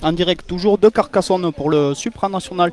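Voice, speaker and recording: A man speaks with a southern French accent, his voice high-pitched with ordinary pitch variation. Music plays in the background. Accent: southern French, sing-song. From southern France, Tarn (Carmaux area). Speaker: sports commentator. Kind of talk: live commentary. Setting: outdoors.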